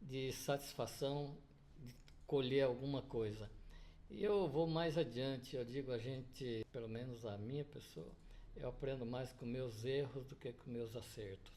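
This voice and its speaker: Audible echo fills the room. The words come very slowly. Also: man. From Paraná, southern Brazil. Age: 70s. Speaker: business owner. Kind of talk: interview.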